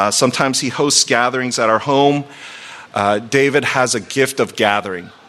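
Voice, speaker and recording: Over noticeable background noise, a man with an American accent talks at a medium pitch with fairly even intonation. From Virginia. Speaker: pastor. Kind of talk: sermon.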